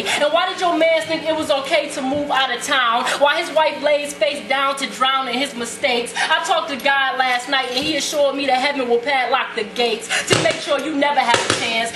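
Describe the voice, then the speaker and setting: A woman with a high pitch and an intense tone speaks with hardly any pauses and fairly even intonation amid noticeable background noise. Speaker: spoken word poet. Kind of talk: slam poetry performance. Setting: live open mic venue. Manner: intense, fiery. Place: stage. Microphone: camera far.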